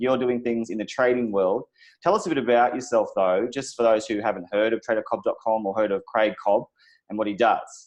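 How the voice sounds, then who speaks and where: A man talks with an Australian accent at a fairly quick pace. His pitch is medium, with ordinary pitch variation. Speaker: crypto channel host. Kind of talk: interview.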